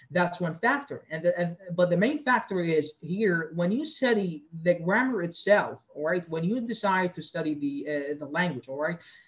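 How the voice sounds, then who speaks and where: Speaking at a moderate pace, a man uses a high pitch and lively intonation. There is noticeable background noise. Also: hardly any pauses. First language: Arabic. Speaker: lecturer. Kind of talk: lecture. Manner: halting, many fillers and repetitions.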